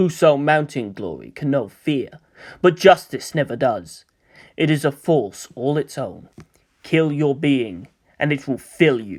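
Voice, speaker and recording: Putting on a menacing, growling character voice, a man speaks fairly slowly at a fairly high pitch with lively intonation. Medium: read story. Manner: growling, menacing.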